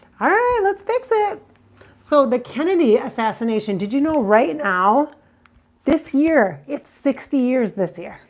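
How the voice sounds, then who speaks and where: Against noticeable background noise, a woman speaks high and fairly slowly, her pitch swinging very widely. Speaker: psychic medium. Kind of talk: casual video monologue. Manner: occasional halting, repeats words.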